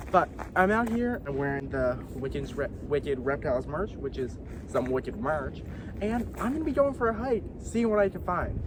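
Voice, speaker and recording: Audible room echo and noticeable background noise are both present. Through them, a man speaks at a moderate pace. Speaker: wildlife vlogger. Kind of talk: outdoor vlog narration. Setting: outdoors on a hike.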